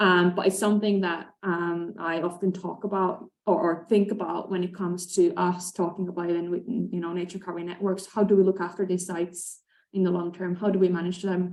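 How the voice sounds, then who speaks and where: A woman in a Finnish accent, with monotone, flat intonation, a fairly quick pace, and hardly any pauses. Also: medium pitch for a woman. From Finland. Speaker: conservation expert. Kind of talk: panel discussion. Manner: hesitant, many fillers.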